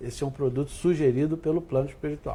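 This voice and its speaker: A man's fairly high-pitched voice sounds somewhat breathy, with a dark, mellow tone. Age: 60s. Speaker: spiritist center president. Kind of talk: TV interview.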